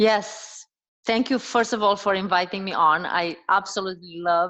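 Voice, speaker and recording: A woman talks in a Romanian accent with a bright, sharp tone. Her pace is moderate and her intonation fairly even. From Romania, Transylvania. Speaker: dietitian and health coach. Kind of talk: casual interview conversation.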